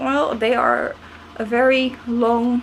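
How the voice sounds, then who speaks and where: Noticeable background noise sits behind a woman speaking with a non-native accent. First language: not English. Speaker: snail keeper. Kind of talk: casual talk to camera.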